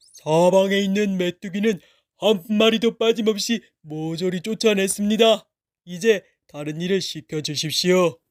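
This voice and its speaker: In a put-on character voice, a man speaks at a moderate pace with a high, resonant pitch on a very clean recording with a silent background. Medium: read story. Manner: calm, formal, unbothered.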